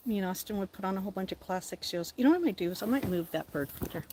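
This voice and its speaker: With noticeable background noise, a woman speaks in an American accent. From southern California. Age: 50s. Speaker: livestream host. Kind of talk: casual live chat with viewers. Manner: animated.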